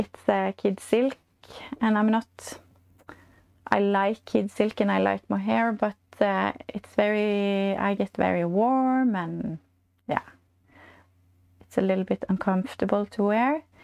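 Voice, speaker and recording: In a quiet background, a woman speaks at a fairly slow pace with long, frequent pauses and ordinary pitch variation. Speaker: knitting podcast host. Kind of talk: casual vlog chat. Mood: warm, cheerful. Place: home room. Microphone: lapel.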